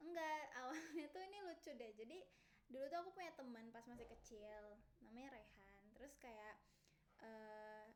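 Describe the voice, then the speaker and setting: Lively intonation and a high pitch mark this woman's speech at a moderate pace. Audible room echo surrounds her voice. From Indonesia, Medan (Batak). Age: young. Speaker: student introducing herself. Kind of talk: casual self-introduction. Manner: informal, filler-heavy.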